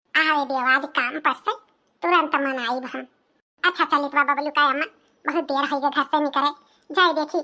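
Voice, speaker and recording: A woman uses a cartoonish character voice with a high pitch. She speaks at a moderate pace. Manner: chatty, confiding.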